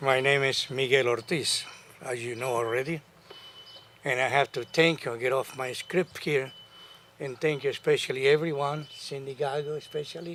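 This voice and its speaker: The man's pitch is fairly high, his intonation fairly even. He keeps a moderate pace over noticeable background noise. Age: 80s+. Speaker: homeowner helped by foreclosure program. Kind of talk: prepared remarks at a press conference.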